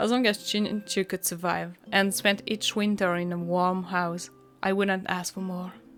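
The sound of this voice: The reading voice sounds unforced. Its intonation is fairly even.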